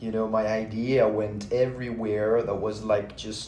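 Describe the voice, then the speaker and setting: With audible room echo around him, a man speaks at a medium pitch. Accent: French. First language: French. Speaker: vlogger. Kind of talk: casual monologue. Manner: halting.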